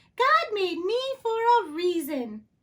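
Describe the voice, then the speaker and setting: Using a put-on character voice, a woman sounds cheerful and squeaky, with an extremely high pitch and very wide pitch swings. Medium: read story. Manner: cheerful, eager.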